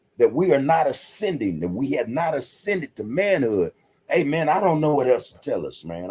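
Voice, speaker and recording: At a moderate pace, a man speaks in an animated tone. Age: 60s. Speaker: podcast host. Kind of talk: monologue commentary.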